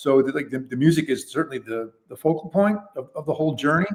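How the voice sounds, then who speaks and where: A man talks at a very fast pace. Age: 60s. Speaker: keyboard player in a band. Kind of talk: casual interview. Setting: call from the road.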